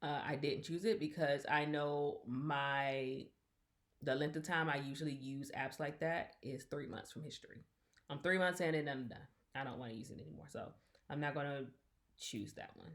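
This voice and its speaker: At a moderate pace, a woman with a very deep, low pitch keeps her intonation fairly even while her loudness swings widely. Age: 40s. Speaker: unboxing video creator. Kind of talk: product unboxing review. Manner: casual, chatty.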